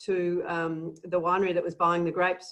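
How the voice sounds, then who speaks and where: Speaking at a fairly quick pace, a woman with a fairly low pitch talks in an Australian accent. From Australia, Melbourne, Victoria. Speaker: winemaker. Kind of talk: interview. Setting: remote recording. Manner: hesitant, many fillers.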